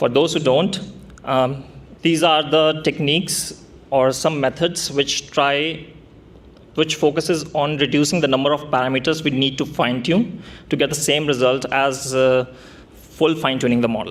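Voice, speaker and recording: A man with an Indian accent, fairly even intonation, and very even loudness. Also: fairly high pitch for a man, moderate pace. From India (Delhi). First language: Hindi. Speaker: software developer, tech meetup speaker. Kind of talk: tech talk presentation.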